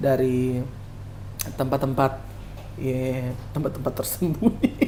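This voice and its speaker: A man with a Kupang accent talks at a very slow pace, at a medium pitch with ordinary pitch variation. Noticeable background noise is present. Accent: Kupang Malay-accented Indonesian. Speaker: singer, singing competition contestant. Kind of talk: podcast interview.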